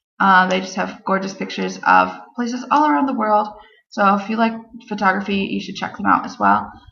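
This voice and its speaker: A woman at a fairly quick pace amid audible room echo. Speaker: travel vlogger. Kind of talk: casual vlog talk to camera. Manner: enthusiastic.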